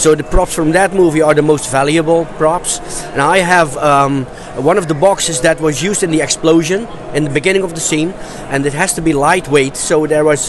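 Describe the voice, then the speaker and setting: A man with a Dutch accent and a fairly high pitch, at a moderate pace with fairly even intonation, over noticeable background noise. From Netherlands. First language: Dutch (speaking German). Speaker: movie prop collector. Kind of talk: interview. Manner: halting.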